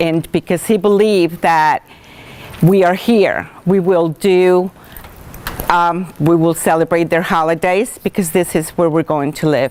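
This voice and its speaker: In a Spanish accent, a woman with a fairly low pitch speaks at a fairly slow pace and very even loudness over noticeable background noise. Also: fairly even intonation. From Colombia. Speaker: school teacher. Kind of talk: personal talk to students.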